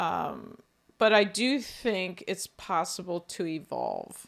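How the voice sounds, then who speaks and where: Loud and with vocal fry, a woman with an American accent speaks very slowly, her pitch swinging very widely. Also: very clean recording, silent background. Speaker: podcast co-host. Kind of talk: casual chat. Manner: animated.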